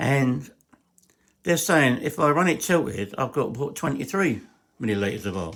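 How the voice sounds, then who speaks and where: A man speaks with an English accent and very wide pitch swings. He leaves long, frequent pauses. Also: moderate pace. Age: 60s. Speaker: hobbyist engine builder. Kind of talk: workshop tutorial. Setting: garage. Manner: halting.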